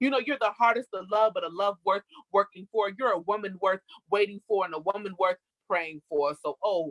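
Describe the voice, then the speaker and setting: The sound is dry and close, with no echo. An ordinary speaking voice, lively in its intonation, moves at a fairly quick pace. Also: woman. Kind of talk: spoken word poetry performance. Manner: rhythmic, expressive, poetic delivery.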